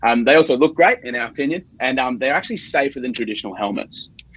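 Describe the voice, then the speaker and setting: A man is speaking. He has an Australian accent. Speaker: startup founder. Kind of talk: sales pitch.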